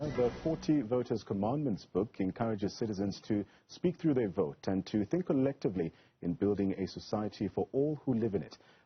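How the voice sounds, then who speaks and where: A man speaks at a fairly quick pace in a fairly low pitch. His voice is somewhat breathy, with very wide pitch swings. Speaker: TV news presenter. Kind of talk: TV interview questions. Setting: studio.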